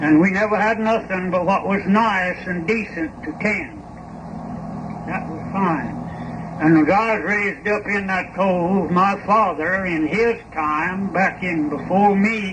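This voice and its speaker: Noticeable background noise surrounds a man's high-pitched voice. He speaks at a fairly slow pace. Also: fairly even intonation. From East Tennessee mountains. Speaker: farmer and coffin maker. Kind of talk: interview answer.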